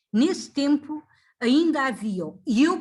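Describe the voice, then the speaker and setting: A woman talks with very wide swings in pitch. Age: 70s. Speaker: retired factory worker and activist. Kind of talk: interview. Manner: halting.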